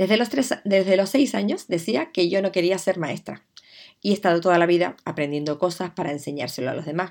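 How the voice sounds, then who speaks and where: Speaking at a fairly quick pace, a woman uses lively intonation at a medium pitch. Hers is a plain, everyday voice. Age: 50s. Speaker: podcast host, digital communication consultant. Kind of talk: podcast monologue, personal introduction.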